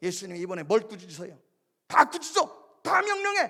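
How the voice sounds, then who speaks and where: A man talks at a fairly quick pace in a raised, projected voice that is high-pitched, bright and sharp. His tone is animated, with very wide pitch swings. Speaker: pastor. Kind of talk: sermon. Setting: church. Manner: loud.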